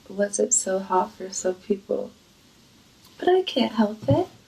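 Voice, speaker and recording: A woman talks at a very slow pace, fairly high in pitch. Noticeable background noise is present. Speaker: webcam streamer. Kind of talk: casual vlog.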